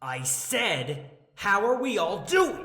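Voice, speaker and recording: Loud and high-pitched, a man puts on a character voice with very wide pitch swings. Audible echo surrounds it. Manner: loud, angry.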